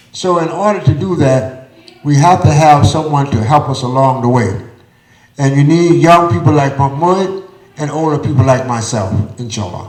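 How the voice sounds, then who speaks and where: Lively intonation carries the speech at a moderate pace. There is noticeable background noise and audible room echo. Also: man, fairly high pitch for a man. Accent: American. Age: 60s. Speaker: community elder speaker. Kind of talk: panel discussion at live event. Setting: theater stage with audience.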